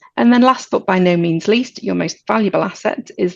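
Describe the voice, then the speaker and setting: At a fairly quick pace, a woman with a fairly low pitch and vocal fry speaks with lively intonation. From Britain. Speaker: insurance agency director. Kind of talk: webinar presentation. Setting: webinar.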